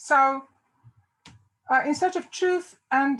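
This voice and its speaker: A woman speaks in a strong South African accent. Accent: South African, fairly heavy. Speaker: theology professor. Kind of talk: lecture. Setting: video call.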